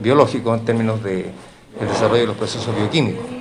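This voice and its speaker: Over noticeable background noise and audible room echo, a man speaks with a Chilean accent. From Chile, Valparaíso. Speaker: professor. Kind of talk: interview. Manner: halting.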